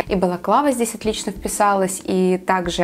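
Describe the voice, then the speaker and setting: A woman at a moderate pace with ordinary pitch variation and light background noise. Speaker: photographer vlogger. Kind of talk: casual vlog chat. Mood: calm, warm. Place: home room.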